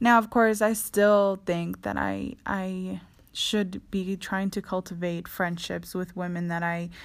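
In a very clean recording with a silent background, the voice moves at a very slow pace with monotone, flat intonation. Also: woman. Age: 20s. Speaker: podcast host. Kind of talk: solo podcast monologue. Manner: casual, frequent laughter.

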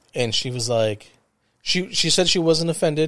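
Here is a man with a normal speaking voice. His pace is moderate and his pitch variation ordinary. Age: 40s. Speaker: podcast host. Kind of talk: casual chat.

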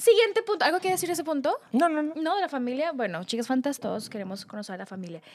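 Over noticeable background noise, a woman talks at a very fast pace with big swings in loudness and very wide pitch swings. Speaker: podcast co-host. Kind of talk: casual chat.

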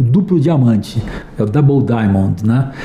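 Noticeable background noise runs under a man who talks fairly slowly with lively intonation. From Brazil, interior of São Paulo state. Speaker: advertising industry executive and design thinking specialist. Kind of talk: interview. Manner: halting, many fillers and repetitions.

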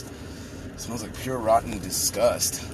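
The man's voice sits at a medium pitch. Behind it, background noise is noticeable. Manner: informal, rambling, profane.

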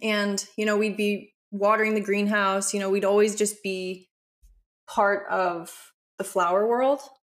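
Someone with an American accent speaks at a fairly slow pace in a flat, monotone way. The recording is very clean, with a silent background. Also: woman, medium pitch for a woman. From Aspen, Colorado, US. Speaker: nutritionist and former pro freeskier. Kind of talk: casual chat.

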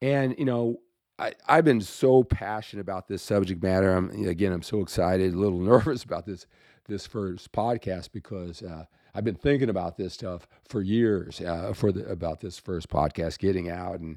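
A man speaks at a moderate pace in a very deep, low pitch. His tone is dark and mellow. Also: ordinary pitch variation, very clean recording, silent background. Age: 60s. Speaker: youth sports coaching podcaster. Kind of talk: solo podcast monologue. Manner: animated.

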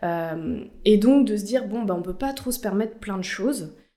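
At a moderate pace, a woman speaks with a dark, mellow tone at medium pitch, with ordinary pitch variation and audible room echo. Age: 20s. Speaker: corporate communications officer. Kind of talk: interview.

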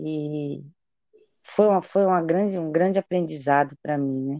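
A woman's dark, mellow tone comes at a moderate pace with ordinary pitch variation. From Bahia, Chapada Diamantina (Brazil). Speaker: chef and restaurant owner. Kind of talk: interview conversation.

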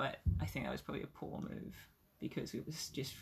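Vocal fry marks the fairly quick speech of a woman. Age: 20s. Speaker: podcast guest sharing outdoor adventure story. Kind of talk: casual interview chat.

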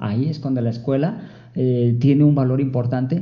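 Audible room echo surrounds a man speaking at medium pitch and a fairly quick pace. His voice is somewhat breathy, with ordinary pitch variation. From Jalisco, Mexico. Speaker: librarian for the visually impaired, blind. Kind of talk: interview. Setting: library studio.

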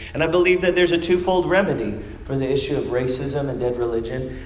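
A man talks at a fairly quick pace with ordinary pitch variation. Audible room echo and noticeable background noise surround him. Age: 30s. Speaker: preacher. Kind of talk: sermon.

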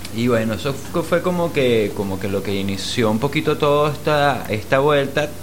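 A man at a moderate pace with hardly any pauses, amid noticeable background noise and audible room echo. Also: medium pitch for a man, lively intonation. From Venezuela. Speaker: musician and producer. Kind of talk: casual interview.

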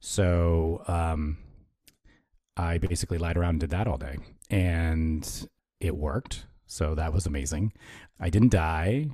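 On a very clean recording with a silent background, a man speaks at a fairly slow pace with long, frequent pauses, his very deep, low voice somewhat breathy and dark and mellow in tone, with ordinary pitch variation. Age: 50s. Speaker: yoga therapist. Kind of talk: interview conversation.

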